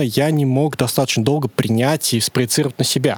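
A plain, everyday voice, moderate in pace, ordinary in pitch variation, with a dry, close sound with no echo. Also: man. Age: 30s. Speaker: podcast guest. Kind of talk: casual chat. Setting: studio.

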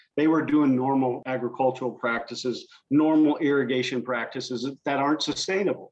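An unremarkable speaking voice with an American accent and fairly even intonation. It moves at a fairly quick pace with hardly any pauses. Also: man, medium pitch for a man. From US Midwest (Southern Indiana). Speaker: conservation organization president. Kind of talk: interview.

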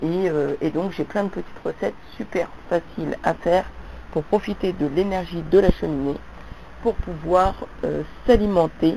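Speaking at a fairly slow pace with long, frequent pauses, a woman uses a fairly low pitch and ordinary pitch variation over noticeable background noise. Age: 40s. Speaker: vlogger. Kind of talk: monologue to camera.

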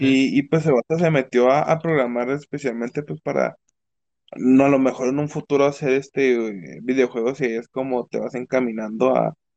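A man's normal speaking voice at medium pitch, moderate pace and ordinary pitch variation, with a dry, close sound and no echo. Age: 20s. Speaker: university student and streamer. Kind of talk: casual chat. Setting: live online stream.

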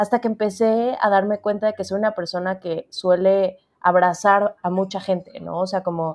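In an ordinary speaking voice, a woman talks at a moderate pace with hardly any pauses. Her pitch is medium and her intonation fairly even. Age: 30s. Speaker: book editor. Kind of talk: interview conversation.

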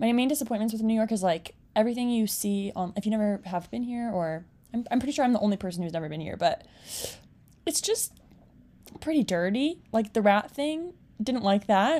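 A woman speaks with a dark, mellow tone. Her intonation is lively. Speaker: friend, guest. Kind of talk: casual chat.

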